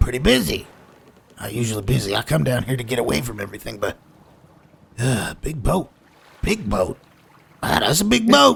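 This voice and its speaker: A man's put-on character voice at a moderate pace. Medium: actual play. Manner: rambling, slurred, chuckling.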